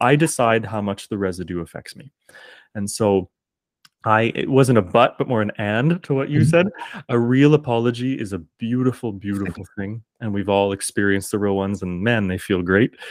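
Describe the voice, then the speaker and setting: A man has an ordinary speaking voice with fairly low pitch, ordinary pitch variation, big swings in loudness and a moderate pace. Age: 30s. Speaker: teacher and singer-performer. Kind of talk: casual interview conversation.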